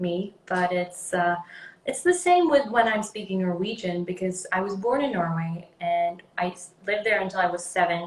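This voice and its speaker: The voice is somewhat breathy, at a moderate pace. Its intonation stays fairly even. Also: woman. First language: Swedish. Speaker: actress. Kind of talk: interview. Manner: halting.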